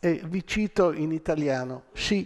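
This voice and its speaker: Here a man speaks very slowly. The background is quiet. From Rome, Italy; Italy. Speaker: lecturer. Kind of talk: public lecture. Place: hall. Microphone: podium.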